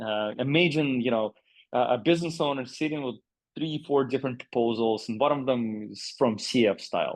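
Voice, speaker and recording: A man with a Russian accent speaks with ordinary pitch variation. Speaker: agency CEO. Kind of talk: podcast interview. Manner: halting, many fillers.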